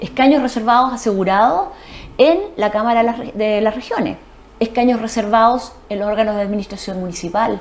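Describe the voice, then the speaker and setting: A woman speaks fairly quickly while noticeable background noise plays behind her. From Chile, Ancud (Chiloé). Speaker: lawyer. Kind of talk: TV interview.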